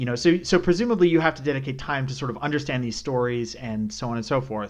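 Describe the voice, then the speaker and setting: A man talks at a fairly quick pace with ordinary pitch variation. It is an ordinary speaking voice over a quiet background. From Canada. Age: 20s. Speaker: podcast host, market strategist. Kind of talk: interview.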